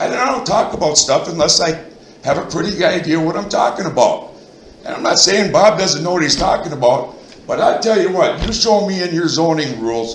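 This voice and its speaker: A man with an American accent and a high pitch talks at a fairly quick pace with lively intonation. Audible room echo and noticeable background noise are present. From Minnesota, central (Royalton area). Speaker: resident speaking at town board meeting. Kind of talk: heated debate. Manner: loud; animated.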